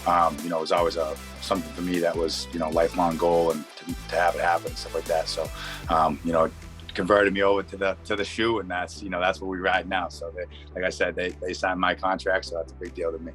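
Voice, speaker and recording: Over music in the background, a man with a very deep, low voice and an American accent talks at a very fast pace with ordinary pitch variation. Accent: strong local. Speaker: football player. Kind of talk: interview answer.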